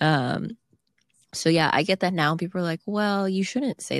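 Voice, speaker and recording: A woman speaks fairly quickly in an ordinary speaking voice, fairly low in pitch. The very clean recording has a silent background and a dry, close sound with no echo. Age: 20s. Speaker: podcast co-host. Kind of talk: casual chat.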